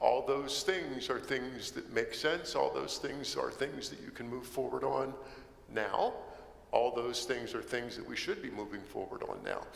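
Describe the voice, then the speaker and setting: A man speaks at a fairly slow pace amid audible room echo and noticeable background noise. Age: 60s. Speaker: solar energy developer. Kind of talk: presentation.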